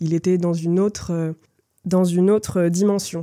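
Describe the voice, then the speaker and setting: A woman speaks at a moderate pace in a dark, mellow tone with a fairly low pitch. Her intonation is monotone and flat. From Brittany, Lorient area. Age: 20s. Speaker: theatre company co-founder and actress. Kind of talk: interview conversation. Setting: café. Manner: hesitant, many fillers and repetitions.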